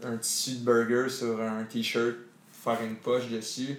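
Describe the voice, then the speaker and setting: A man's medium-pitched voice with a Quebec accent, monotone and flat in intonation, over noticeable background noise. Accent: Québécois French. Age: 20s. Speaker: entrepreneur, former football player. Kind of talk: interview. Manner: halting, many fillers.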